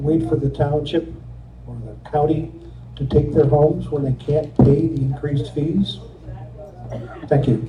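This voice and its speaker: Long, frequent pauses break up the fairly slow speech, heard with audible room echo and noticeable background noise. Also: man. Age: 70s. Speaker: resident giving public comment. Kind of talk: public comment at township meeting. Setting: public meeting hall.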